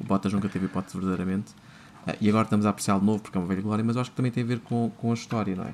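Very fast and in a monotone, flat intonation, a man speaks at a fairly low pitch. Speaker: podcast host. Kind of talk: casual chat.

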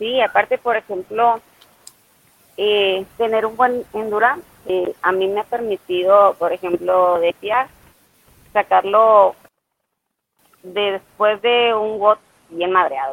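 A woman talks at a very slow pace, leaving long, frequent pauses. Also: medium pitch for a woman, ordinary pitch variation. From Mexico, Ciudad Obregón, Sonora. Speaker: CrossFit athlete. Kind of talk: casual interview.

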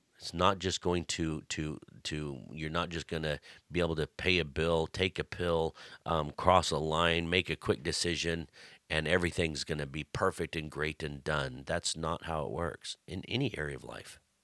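A man's very deep, low voice with vocal fry, a bright, sharp tone, and fairly even intonation at a moderate pace, in a dry, close sound with no echo and a very clean recording with a silent background. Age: 40s. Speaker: podcast host and pastor. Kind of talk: casual devotional talk. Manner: conversational with frequent fillers.

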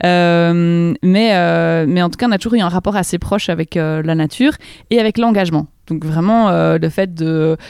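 In a very clean recording with a silent background, a woman speaks with a fairly low pitch and ordinary pitch variation. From Belgium, province of Namur. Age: 30s. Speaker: politician. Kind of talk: interview. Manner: halting, many repetitions.

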